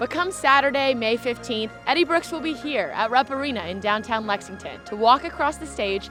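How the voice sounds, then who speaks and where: Music plays behind a woman as she talks. Her pace is fairly quick and her intonation lively. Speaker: sports reporter and host. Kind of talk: TV sports news segment. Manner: clear, polished.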